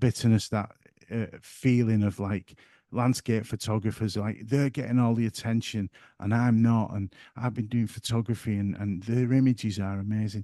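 A man with a northern English accent speaks at a moderate pace in a dark, mellow tone. The sound is dry and close with no echo, over a quiet background. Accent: broad northern English. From northern England. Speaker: photographer and YouTuber. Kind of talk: casual interview chat.

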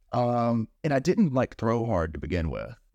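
With an American accent, a plain, everyday voice speaks at a moderate pace in a dry, close sound with no echo and a quiet background. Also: man. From Texas. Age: 20s. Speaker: comedian. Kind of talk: casual chat.

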